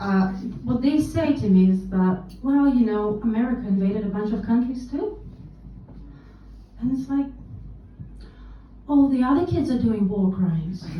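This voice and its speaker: A woman with a fairly high, somewhat breathy voice and a dark, mellow tone talks at a moderate pace. Long, frequent pauses break her speech, and the room echo is audible. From Russia. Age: 30s. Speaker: stand-up comedian. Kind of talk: stand-up. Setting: stage with audience.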